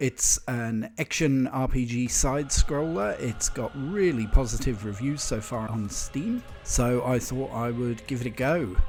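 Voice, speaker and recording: A man talks at a fairly slow pace with hardly any pauses. Music plays in the background. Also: medium pitch for a man, ordinary pitch variation. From New Zealand. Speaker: video game streamer. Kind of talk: casual game review voiceover.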